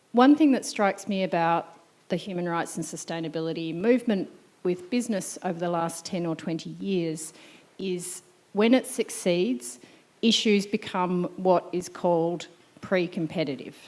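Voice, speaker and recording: A woman with an Australian accent speaks in a fairly low pitch with lively intonation. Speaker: audience member asking a question. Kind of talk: Q&A question at a symposium. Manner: slow.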